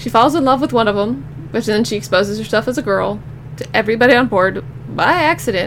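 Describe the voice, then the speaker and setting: Noticeable background noise runs under a woman who talks very fast at a fairly high pitch, with very wide pitch swings. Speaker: podcast host. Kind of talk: casual monologue.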